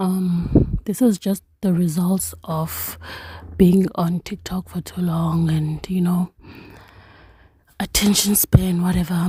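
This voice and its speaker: Very slow speech with long, frequent pauses over noticeable background noise. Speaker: tarot reader. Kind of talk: casual monologue to camera. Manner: unhurried, takes pauses.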